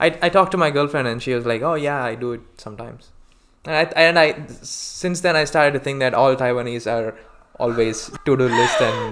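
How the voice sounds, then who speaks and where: A man with an Indian accent talks at a fairly quick pace with a fairly high pitch and ordinary pitch variation, over noticeable background noise. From India, Hyderabad. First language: Telugu. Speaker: podcast guest. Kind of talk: casual chat.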